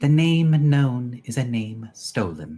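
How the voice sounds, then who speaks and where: Putting on a character voice, a man speaks at a fairly slow pace and medium pitch with lively intonation. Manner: mysterious, ominous.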